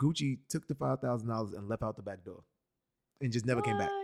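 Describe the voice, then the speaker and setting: Very fast, a man speaks with an American accent at a medium pitch and ordinary pitch variation. The sound is dry and close, with no echo. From New York City. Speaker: podcast host. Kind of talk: casual chat.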